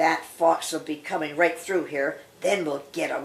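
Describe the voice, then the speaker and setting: A woman's put-on character voice, growling and fairly low-pitched, with monotone, flat intonation. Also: moderate pace. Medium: read story. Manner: gruff.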